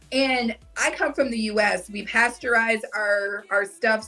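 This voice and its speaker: Amid noticeable background noise, a woman with an American accent speaks at a fairly high pitch with ordinary pitch variation. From US North. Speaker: travel content creator. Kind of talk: casual chat. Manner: fast.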